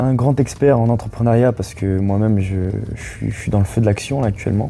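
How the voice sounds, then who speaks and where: Fairly quick speech from a man, pitched in the middle range, with normal pitch movement and clear background noise. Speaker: student entrepreneur. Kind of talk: casual interview. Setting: seated on a couch, filmed. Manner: calm, measured; halting, many fillers.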